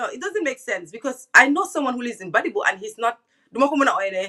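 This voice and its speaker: The speaker talks at a very fast pace in a Gambian accent. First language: Wolof. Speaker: online talk show host. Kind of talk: interview. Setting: live stream.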